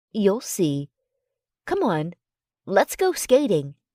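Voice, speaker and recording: Using a put-on character voice, a woman speaks at a very slow pace in a medium pitch. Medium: read story. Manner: warm, teasing.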